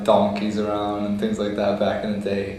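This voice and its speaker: A man's fairly low-pitched voice with audible room echo and noticeable background noise. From United States. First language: Lebanese Arabic. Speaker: oral history interviewee. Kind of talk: interview.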